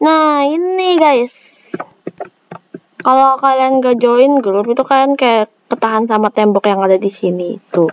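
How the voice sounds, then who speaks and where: Speaking at a fairly slow pace, a woman uses lively intonation in a high voice at very even loudness. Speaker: gaming youtuber. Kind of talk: gameplay commentary. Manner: casual, chatty.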